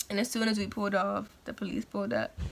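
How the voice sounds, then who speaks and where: Against light background noise, a woman talks at a very fast pace. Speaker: vlogger telling a story. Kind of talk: casual vlog chat. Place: home room. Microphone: phone near.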